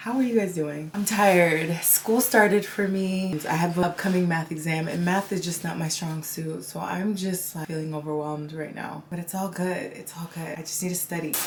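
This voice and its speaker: Over noticeable background noise, a woman with a fairly low voice keeps a moderate pace and fairly even intonation, with hardly any pauses. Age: 20s. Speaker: lifestyle vlogger. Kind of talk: casual vlog talk to camera. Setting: at home.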